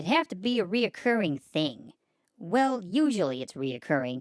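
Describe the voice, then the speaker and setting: A female-sounding voice performs a put-on character at middle pitch and moderate pace, swinging very widely in pitch on a very clean recording with a silent background. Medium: audio drama. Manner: brash, fast, slangy, calls people food nicknames.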